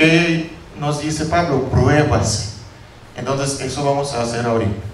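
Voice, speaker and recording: A man speaks at a fairly slow pace with fairly high pitch and ordinary pitch variation. Audible room echo and noticeable background noise surround him. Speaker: pastor. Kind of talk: sermon. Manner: halting.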